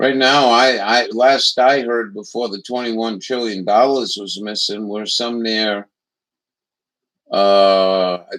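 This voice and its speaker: A man with an American accent has an unremarkable speaking voice. He talks at a fairly slow pace with fairly even intonation. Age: 60s. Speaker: political commentary livestreamer. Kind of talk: casual chat.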